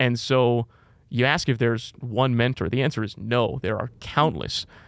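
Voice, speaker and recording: In an ordinary speaking voice, a man talks at a moderate pace with fairly even intonation, the sound dry and close with no echo and the recording very clean over a silent background. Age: 20s. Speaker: baseball play-by-play broadcaster.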